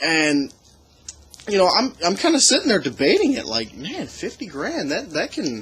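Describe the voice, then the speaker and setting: Over noticeable background noise, a man speaks at a moderate pace with very wide swings in pitch. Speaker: podcast co-host. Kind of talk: casual chat. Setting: outdoors. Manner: rambling, halting.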